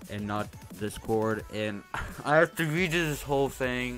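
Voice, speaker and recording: Music plays in the background. The voice moves through very wide pitch swings. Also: man. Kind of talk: casual gaming commentary. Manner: rambling, hesitant.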